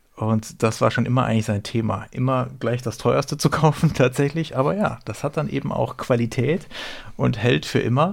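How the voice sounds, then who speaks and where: A man speaks at a moderate pace with ordinary pitch variation, in an unremarkable speaking voice. The recording is very clean, with a silent background. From southern Baden, Rheinfelden near Basel. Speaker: podcast co-host. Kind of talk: casual chat.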